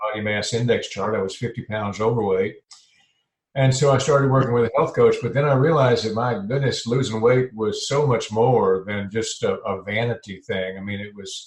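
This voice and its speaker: Here a man talks at a moderate pace with ordinary pitch variation. His voice is somewhat breathy. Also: medium pitch for a man. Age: 70s. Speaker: health and life transition coach. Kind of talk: podcast interview. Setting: podcast. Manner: halting, with fillers.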